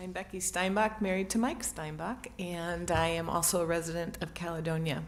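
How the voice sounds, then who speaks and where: Hardly pausing, a woman speaks at a fairly low pitch with fairly even intonation in an ordinary speaking voice. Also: moderate pace. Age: 60s. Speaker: public commenter at village board meeting. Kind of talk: public comment testimony. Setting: village board meeting.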